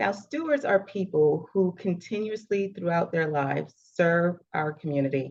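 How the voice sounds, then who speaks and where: A woman talks at a moderate pace with hardly any pauses, her intonation lively. It is an ordinary speaking voice. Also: fairly low pitch for a woman. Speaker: interview host. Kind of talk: interview introduction.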